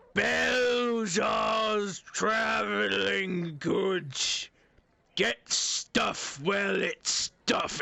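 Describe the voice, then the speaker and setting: Shouting in a put-on character voice, a man speaks at a very slow pace. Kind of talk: rustic, folksy. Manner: curt, matter-of-fact sales pitch.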